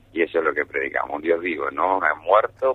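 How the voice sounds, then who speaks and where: This man speaks at a moderate pace. Noticeable background noise runs underneath. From Argentina, Buenos Aires. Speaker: church spokesman. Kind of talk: radio interview.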